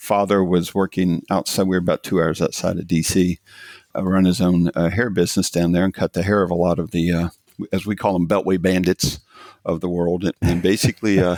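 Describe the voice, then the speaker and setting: A man with a Southern Appalachian accent and a very deep, low pitch talks at a fairly quick pace in a monotone, flat delivery, the sound dry and close with no echo. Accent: Southern mountain. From US South, rural mountains of Virginia. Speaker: tech company CEO. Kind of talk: podcast interview. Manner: halting, many fillers.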